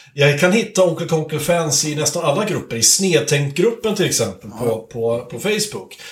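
Against noticeable background noise and audible room echo, a man with a high pitch speaks at a moderate pace with very wide pitch swings. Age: 30s. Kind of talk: casual chat. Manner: halting.

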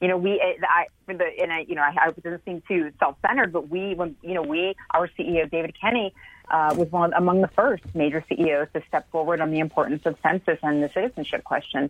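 A woman talks at a fairly quick pace with hardly any pauses and ordinary pitch variation. It is an ordinary speaking voice. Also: fairly low pitch for a woman. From United States, Cuban heritage. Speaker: market research consumer behaviorist. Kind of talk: interview.

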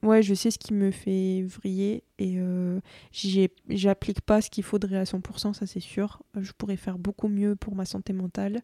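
Her voice is dark and mellow at a medium pitch, the woman speaking at a fairly slow pace in a flat monotone, dry and close with no echo, on a very clean recording against a silent background. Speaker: podcast guest, traveller. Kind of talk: casual chat. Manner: hesitant.

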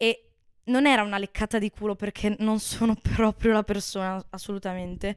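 Her voice is flat and monotone, at a medium pitch for a woman. She talks at a moderate pace, with a dry, close sound with no echo. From Veneto, Italy (Bassano del Grappa). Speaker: former university student. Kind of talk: casual chat.

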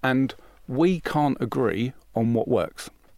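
A man at a very slow pace, ordinary pitch variation, dry, close sound with no echo. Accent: British. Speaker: business founder. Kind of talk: casual interview.

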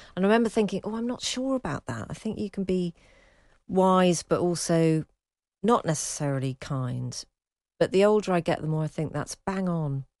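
This woman's pitch sits fairly low, and her intonation is lively at a moderate pace. It is a normal speaking voice, with a dry, close sound and no echo. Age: 50s. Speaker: radio host. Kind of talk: casual chat.

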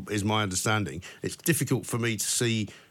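A man with a British accent and a fairly low pitch. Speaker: radio host. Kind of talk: talk radio phone-in. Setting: studio.

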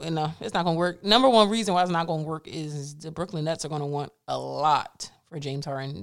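Her pace is fairly quick. The woman's pitch varies in an ordinary way. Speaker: co-host. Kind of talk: casual chat.

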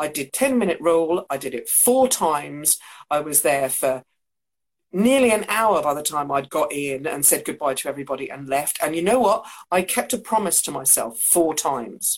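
In an English accent, this voice moves at a moderate pace with very wide pitch swings, captured in a very clean recording with a silent background. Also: woman, very deep, low pitch for a woman. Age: 50s. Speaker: co-host. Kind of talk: casual chat.

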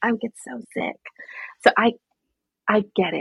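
A somewhat breathy woman with an American accent at a moderate pace. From New York City. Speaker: systems architect and business coach. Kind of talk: interview conversation.

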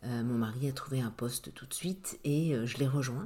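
Somewhat breathy, a woman's voice moves along at a fairly slow pace. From Brittany, Brest. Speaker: real estate agent. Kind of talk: interview. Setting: at the guest's home. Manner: hesitant, many fillers.

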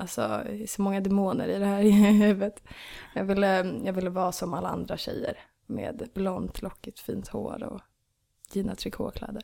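A woman speaks at a medium pitch with a dark, mellow tone and vocal fry. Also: fairly even intonation, moderate pace. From Stockholm area, Sweden (Ösmo). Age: 20s. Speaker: musician. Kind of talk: casual chat. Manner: giggly.

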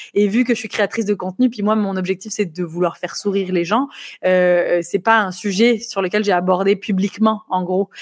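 Fairly even intonation from a woman at medium pitch, moderate in pace. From France, Nice. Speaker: YouTuber, comedian and author. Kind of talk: interview.

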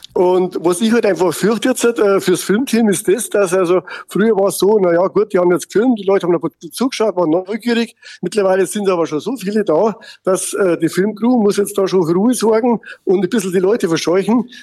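The speaker talks at a fairly quick pace with ordinary pitch variation and very even loudness. The tone is dark and mellow, and the sound is dry and close with no echo. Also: man, high pitch for a man. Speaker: mayor. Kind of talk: casual chat.

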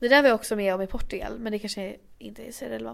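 A woman is speaking. Her pace is very fast. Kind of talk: casual chat. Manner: animated.

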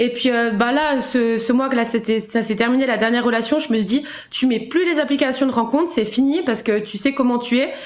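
Over noticeable background noise, a woman speaks at a fairly quick pace in a high voice with ordinary pitch variation. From Switzerland. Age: 20s. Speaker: caller sharing personal experience. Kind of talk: testimony.

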